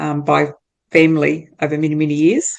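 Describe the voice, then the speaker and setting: A woman's very deep, low voice at a moderate pace, with monotone, flat intonation. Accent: New Zealand. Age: 60s. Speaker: entrepreneur. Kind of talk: interview.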